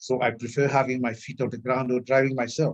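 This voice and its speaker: At a moderate pace, a man talks at a medium pitch. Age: 60s. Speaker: wellness consultant. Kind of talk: testimony.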